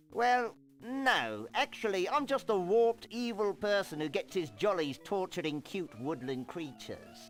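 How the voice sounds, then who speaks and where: With a British accent and a high pitch, a man speaks in a theatrical tone with very wide pitch swings. His pace is fairly slow with hardly any pauses, and music plays in the background. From Liverpool. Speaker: villain character in a game. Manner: sarcastic, theatrical.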